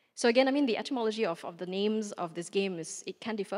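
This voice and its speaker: In a very clean recording with a silent background, a woman talks at a very fast pace. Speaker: artist. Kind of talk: lecture performance.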